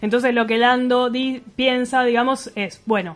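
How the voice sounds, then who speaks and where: A woman with a Rioplatense accent, high-pitched, at a moderate pace. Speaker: radio host. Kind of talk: radio show interview and chat. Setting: radio studio.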